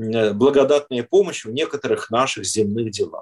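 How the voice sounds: With a slightly husky edge, a man speaks at a moderate pace using ordinary pitch variation.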